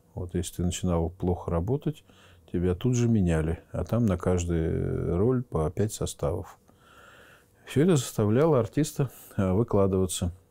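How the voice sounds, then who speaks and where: Very deep and low in pitch, a man speaks in a dark, mellow tone at a moderate pace, with lively intonation and long, frequent pauses. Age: 50s. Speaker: theatre school rector, former dancer. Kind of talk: interview. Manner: hesitant, with many filler words. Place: office. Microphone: lapel.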